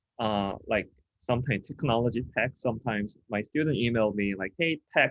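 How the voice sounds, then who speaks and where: At a moderate pace, a man speaks at a medium pitch with a Korean accent. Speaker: design professor. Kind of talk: lecture presentation. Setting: video call with screen share.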